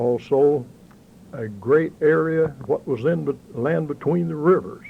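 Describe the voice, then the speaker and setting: Here a man speaks in a western Kentucky accent at a fairly slow pace. His pitch is fairly high, with ordinary pitch variation. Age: 60s. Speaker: interviewee, local banker. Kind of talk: oral history interview. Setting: local bank office.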